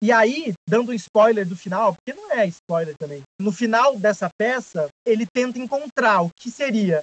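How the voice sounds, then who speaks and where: Fairly slow pace, lively intonation and hardly any pauses. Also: man, high pitch for a man, dry, close sound with no echo. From Brazil, São José dos Campos (São Paulo state). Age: 20s. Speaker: actor and playwright. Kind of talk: casual chat.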